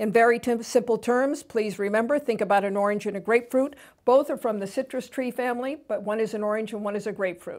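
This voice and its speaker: A woman's unremarkable speaking voice, fairly high-pitched and fairly quick, with ordinary pitch variation, on a very clean recording with a silent background. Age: 60s. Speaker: TV host. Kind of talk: educational talk.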